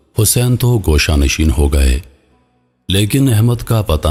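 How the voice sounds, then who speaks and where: A man talks with lively intonation. Background music plays along behind him. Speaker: voice actor. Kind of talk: story narration.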